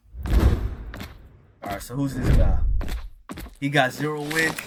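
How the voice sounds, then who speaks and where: Noticeable background noise and audible room echo both surround this man as he talks. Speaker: gaming YouTuber. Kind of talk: gameplay commentary.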